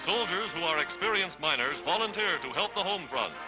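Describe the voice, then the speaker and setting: Over background music, a man with a high pitch talks at a fairly quick pace. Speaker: newsreel narrator. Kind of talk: wartime newsreel narration.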